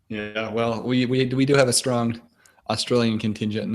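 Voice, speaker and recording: A man speaks with a fairly low pitch in a monotone, flat intonation. His pace is moderate, with music in the background. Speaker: podcast host. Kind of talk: casual podcast chat.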